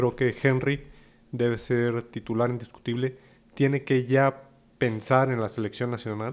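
A man speaks at a fairly slow pace with a medium pitch. His intonation is monotone and flat. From Mexico. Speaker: football podcast co-host. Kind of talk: casual chat.

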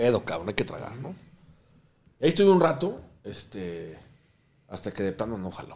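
Vocal fry marks a man's voice as he talks at a fairly quick pace with very wide pitch swings. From Mexico. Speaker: restaurateur. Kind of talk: casual chat.

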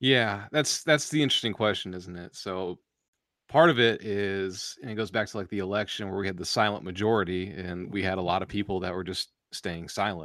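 On a very clean recording with a silent background, a man with a normal speaking voice talks at a fairly quick pace, his fairly low pitch showing ordinary variation. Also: big swings in loudness. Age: 30s. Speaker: author and podcaster. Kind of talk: casual interview chat.

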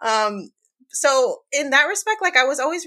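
Recorded very cleanly against a silent background, with a dry, close sound and no echo, the voice carries an American accent, lively intonation, and an animated, bright, sharp tone. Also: woman. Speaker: personal finance podcaster. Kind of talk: interview.

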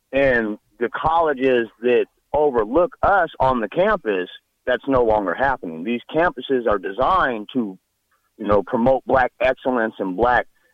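This man has a plain, everyday voice with an American accent and medium pitch. He talks at a moderate pace with lively intonation. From Nebraska. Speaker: caller. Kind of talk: call-in comment.

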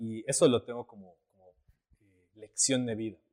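Medium pitch from a man with a dark, mellow tone, in dry, close sound with no echo. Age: 20s. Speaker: photographer and actor. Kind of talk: casual chat.

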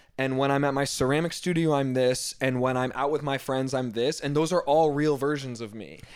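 With an American accent, a man talks at a fairly quick pace with hardly any pauses, a fairly high pitch and fairly even intonation over noticeable background noise. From Northern Virginia. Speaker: fashion designer. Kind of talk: casual chat.

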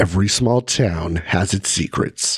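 A man puts on a dramatic character voice with a very deep, low pitch. He delivers it at a fairly slow pace. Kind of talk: narrator voice. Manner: dramatic narration.

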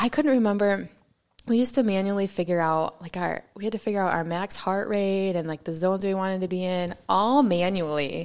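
An unremarkable speaking voice with an American accent, at a fairly quick pace with ordinary pitch variation. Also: woman, medium pitch for a woman. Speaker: mountain bike racer. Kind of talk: casual chat.

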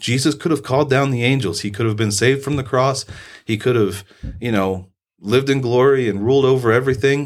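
A man's unremarkable speaking voice with an American accent, medium in pitch with ordinary pitch variation and a fairly quick pace, on a very clean recording with a silent background. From US Midwest, southern Indiana. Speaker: political candidate and military veteran. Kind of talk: casual interview.

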